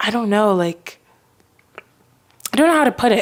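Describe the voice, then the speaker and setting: This woman has an American accent. Her intonation is lively. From Texas, Houston. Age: 20s. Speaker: podcast host. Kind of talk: casual chat. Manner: animated.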